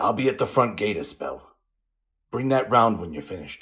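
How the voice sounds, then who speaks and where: A man puts on a croaky, raspy character voice. He speaks at a moderate pace with very wide pitch swings. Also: medium pitch for a man. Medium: read story. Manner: gruff, plainspoken.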